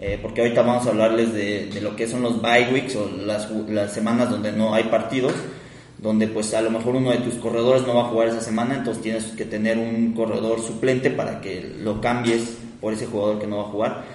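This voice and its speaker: A man talks at a fairly quick pace in a monotone, flat intonation. Audible room echo and noticeable background noise fill the recording. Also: medium pitch for a man. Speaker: podcast co-host. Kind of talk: casual chat.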